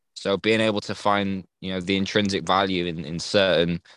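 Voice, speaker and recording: Here a man talks at a moderate pace with fairly even intonation. The sound is dry and close with no echo, against a quiet background. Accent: English. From England. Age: 20s. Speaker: NFT community member. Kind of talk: casual chat.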